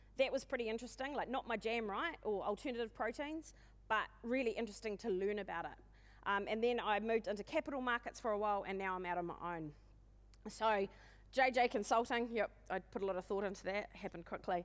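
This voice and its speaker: A woman with a New Zealand accent, very fast and animated, at a fairly high pitch with ordinary pitch variation. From New Zealand, west coast of the South Island. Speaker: conference speaker, agribusiness consultant. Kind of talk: conference talk.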